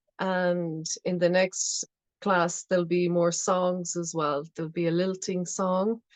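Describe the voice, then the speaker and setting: Very slow speech, dry and close with no echo, over a quiet background. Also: woman. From Ireland, Aran Islands (Inisheer). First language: Irish. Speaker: folk singer and singing teacher. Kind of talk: workshop teaching talk.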